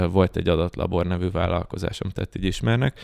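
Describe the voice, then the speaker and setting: A man with a very deep, low voice and vocal fry speaks at a moderate pace with ordinary pitch variation, recorded very cleanly against a silent background in a dry, close sound with no echo. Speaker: data science educator. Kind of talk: casual chat.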